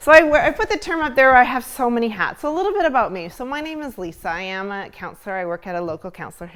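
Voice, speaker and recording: On a very clean recording with a silent background, a woman speaks very fast in a shaky voice with very wide pitch swings. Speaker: school counselor and mindfulness presenter. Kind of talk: conference talk. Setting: stage with live audience, filmed. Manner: shaky at first, settling.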